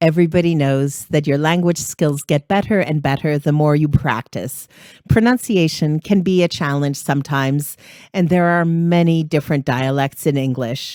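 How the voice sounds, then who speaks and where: A woman with a Canadian accent speaks in a very deep, low voice with a dark, mellow tone, ordinary pitch variation and very even loudness, captured dry and close with no echo on a very clean recording with a silent background. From Canada, East Coast. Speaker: podcast host, English teacher. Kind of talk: scripted language-lesson podcast. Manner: clear, deliberate pronunciation.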